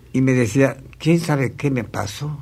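Against noticeable background noise, a man at medium pitch speaks fairly slowly. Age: 80s+. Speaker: traditional troubadour composer. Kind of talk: interview, reminiscing. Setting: recording studio.

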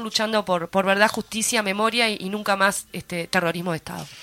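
A woman with a Uruguayan accent, fairly even intonation and a fairly quick pace. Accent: Rioplatense Spanish (Uruguayan). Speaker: radio host. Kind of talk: casual chat.

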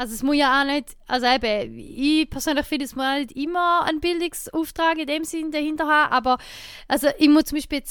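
A woman with an eastern Swiss accent. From eastern Switzerland. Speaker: podcast host. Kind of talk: casual chat.

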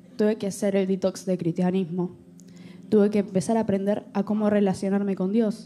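Music plays in the background. Over it, a woman speaks at medium pitch. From Argentina. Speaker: church volunteer sharing testimony. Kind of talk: testimony.

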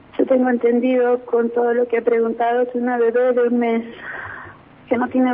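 A woman's high voice at a fairly quick pace, flat and monotone, with very even loudness and noticeable background noise. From Neuquén, Argentina. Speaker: grandmother and hospital worker. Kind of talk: phone interview testimony.

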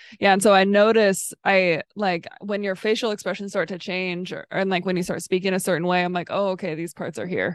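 Against a quiet background, a woman at medium pitch speaks in a monotone, flat intonation at a fairly quick pace with hardly any pauses. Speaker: podcast host. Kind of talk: casual chat. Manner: monotone, not very expressive.

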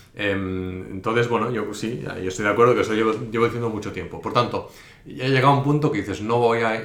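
Over noticeable background noise and audible room echo, a man speaks very fast at a medium pitch with ordinary pitch variation. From Spain. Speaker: investor and investment teacher. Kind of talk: interview. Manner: hesitant, many fillers.

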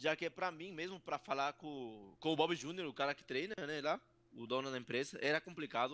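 A man speaks in a fairly high voice with a strong Peruvian accent. His tone is bright and sharp, and his pitch varies in an ordinary way. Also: dry, close sound with no echo. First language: Spanish (speaking Portuguese). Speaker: professional wrestler. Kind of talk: interview. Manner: halting.

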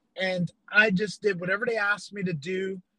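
A raised, projected voice with a bright, sharp tone speaks in an American accent, the intonation fairly even. The sound is dry and close, with no echo. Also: man. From upstate New York. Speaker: missionary. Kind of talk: casual interview, testimony.

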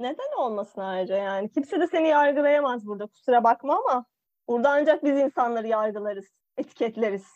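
Her pitch high and her intonation lively, a woman talks at a fairly quick pace in a dry, close sound with no echo. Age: 20s. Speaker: podcast co-host. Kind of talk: casual chat. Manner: animated.

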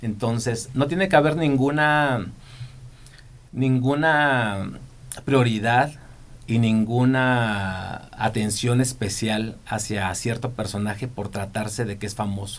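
A man speaks at a very slow pace. Room echo is audible. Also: medium pitch for a man, ordinary pitch variation. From Michoacán, Mexico. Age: 40s. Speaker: TV and events producer. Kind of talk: interview.

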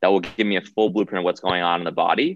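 A man with an American accent speaks in a very deep, low voice with ordinary pitch variation. The background is quiet. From US Northeast, Rhode Island. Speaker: wellness doctor. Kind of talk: interview.

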